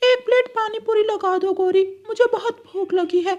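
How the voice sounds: A man speaks at a moderate pace in a cartoonish character voice pitched extremely high.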